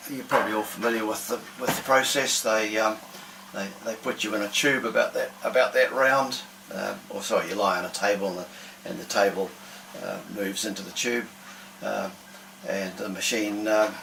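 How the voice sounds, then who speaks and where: A man with a New Zealand accent talks at a moderate pace and a fairly low pitch, with fairly even intonation, big swings in loudness, long, frequent pauses and noticeable background noise. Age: 70s. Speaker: electronics engineer sharing a personal health experience. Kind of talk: personal vlog monologue. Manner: hesitant, many fillers.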